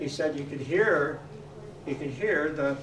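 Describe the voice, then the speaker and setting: Speaking at a moderate pace with a Canadian accent, a man has a fairly high pitch, heard through audible room echo and noticeable background noise. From Canada, Nanaimo, British Columbia. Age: 80s+. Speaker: local resident sharing family history. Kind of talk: casual show-and-tell talk to an audience. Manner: halting, with stammered repetitions.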